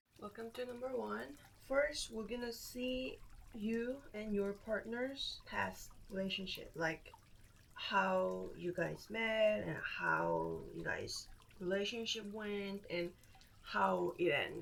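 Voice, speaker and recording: A woman with a Korean accent at a very slow pace. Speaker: tarot reader. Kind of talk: tarot reading.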